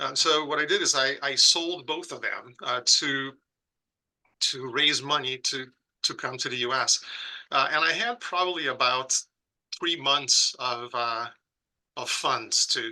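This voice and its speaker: A man with a Brazilian accent has a bright, sharp tone and fairly high pitch. He goes at a fairly slow pace with long, frequent pauses. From southern Brazil, Porto Alegre. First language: Portuguese. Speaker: pediatric critical care professor. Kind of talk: podcast interview. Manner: halting with frequent repetitions.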